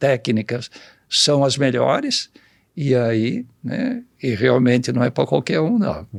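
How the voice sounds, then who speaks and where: A man with a medium pitch speaks at a very slow pace in a dry, close sound with no echo. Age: 70s. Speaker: agronomist, seed company veteran. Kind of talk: podcast interview. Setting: studio.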